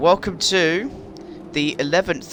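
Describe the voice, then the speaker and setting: A man with a West Midlands accent is heard over noticeable background noise. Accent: British, West Midlands. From West Midlands, England. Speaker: gaming YouTuber. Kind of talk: gameplay commentary. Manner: animated.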